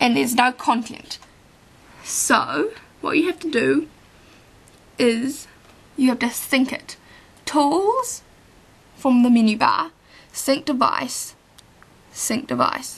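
Slowly and with long, frequent pauses, a woman speaks in a high pitch. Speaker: tutorial presenter. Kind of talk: software tutorial screencast narration. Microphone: phone near.

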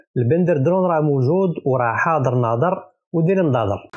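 A man with a Moroccan accent talks at a fairly quick pace in an animated tone. His pitch is fairly high and varies in an ordinary way. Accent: Moroccan Darija. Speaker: political commentator. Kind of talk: mocking political commentary.

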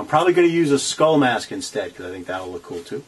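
There is light background noise. A man's pitch swings very widely as he speaks. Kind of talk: tutorial. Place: workshop. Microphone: phone near.

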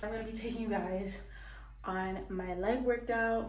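Light background noise sits under audible room echo as a woman speaks. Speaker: fitness vlogger. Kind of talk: casual vlog chat. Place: bathroom. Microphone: phone near.

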